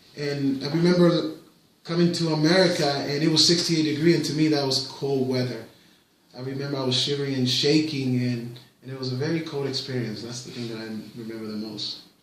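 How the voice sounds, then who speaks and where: Over noticeable background noise and audible room echo, a man speaks fairly quickly at a fairly high pitch, his loudness swinging widely. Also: ordinary pitch variation. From Puerto Rico. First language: Spanish. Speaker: parent interviewed by his child. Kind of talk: casual interview. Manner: hesitant, with fillers and repetitions.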